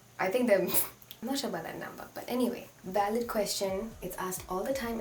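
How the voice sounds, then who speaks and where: A woman speaks in an animated tone with ordinary pitch variation, against noticeable background noise and audible room echo. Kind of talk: response video monologue. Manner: fast.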